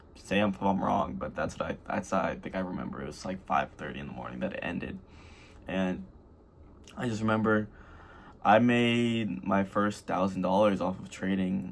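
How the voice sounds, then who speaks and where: A man with a very deep, low pitch, vocal fry, lively intonation and a fairly quick pace. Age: 20s. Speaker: youth trading vlogger. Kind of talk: casual monologue vlog. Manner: rambling, filler-heavy.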